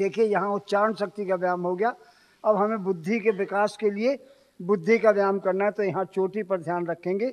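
At a moderate pace, a man speaks at a high pitch with fairly even intonation against a quiet background. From India. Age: 80s+. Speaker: yoga instructor. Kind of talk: yoga class instruction. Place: stage. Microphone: handheld.

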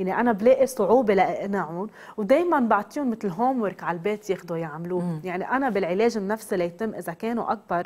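A woman with a dark, mellow tone talks fairly quickly with lively intonation. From Lebanon. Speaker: psychotherapist; guest. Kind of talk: TV interview. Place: studio. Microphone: lapel.

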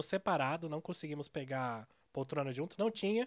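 The background is quiet. A man talks with a fairly high pitch. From Curitiba, Brazil; Brazil. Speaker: software developer and news site co-owner; news site co-owner. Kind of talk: casual interview. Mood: relaxed, smiling. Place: studio. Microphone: studio mic.

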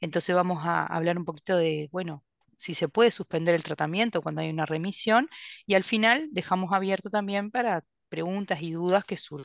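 A woman with a Uruguayan accent speaks at a fairly quick pace with ordinary pitch variation, the sound dry with no echo. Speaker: gastroenterologist; presenter. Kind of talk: lecture. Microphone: video call.

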